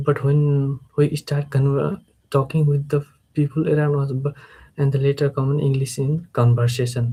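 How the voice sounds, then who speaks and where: In a dark, mellow tone, a man speaks somewhat breathily at a fairly high pitch with monotone, flat intonation. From Nepal. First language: Nepali. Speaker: English learner, freelancer. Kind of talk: live stream speaking practice. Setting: live stream, camera. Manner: halting, many fillers and repetitions.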